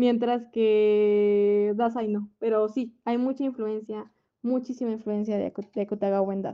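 Her fairly high-pitched voice stays monotone, with the woman's intonation flat throughout. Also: fairly slow pace. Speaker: podcast host. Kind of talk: casual book discussion.

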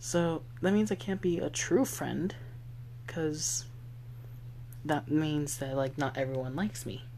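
The voice has a relaxed tone and moves at a fairly slow pace. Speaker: podcast host. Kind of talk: casual solo podcast talk, reassuring. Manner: relaxed, rambling, self-deprecating.

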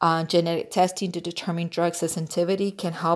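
A woman with an American accent speaks at a moderate pace in a fairly low voice, recorded very cleanly against a silent background. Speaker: podcast host. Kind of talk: casual solo podcast monologue. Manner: stumbling over words.

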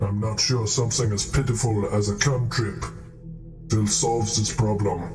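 The speaker uses a put-on character voice at a moderate pace. Clear music plays in the background. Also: man, fairly low pitch for a man. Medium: actual play. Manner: solemn, cryptic.

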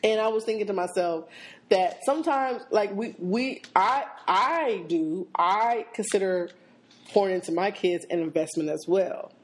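In an American accent, a woman speaks at a moderate pace with lively intonation. Her medium-pitched voice is an ordinary speaking voice. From Seattle. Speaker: podcast co-host. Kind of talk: casual chat.

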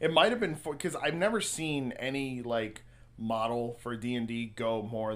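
Medium-pitched male speech at a moderate pace, with lively intonation. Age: 20s. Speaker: podcast host. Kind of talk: casual chat.

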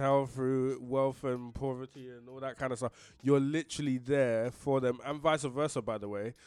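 Very clean and silent in the background, this recording has a man with a London accent speaking at a medium pitch and a moderate pace. His intonation is monotone and flat, while his loudness swings widely. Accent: London multicultural English. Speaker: teacher. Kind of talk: casual chat.

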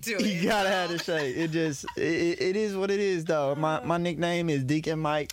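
A man talks fairly slowly at a high pitch, with ordinary pitch variation and hardly any pauses. His loudness stays very even over noticeable background noise. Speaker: podcast co-host. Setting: radio studio.

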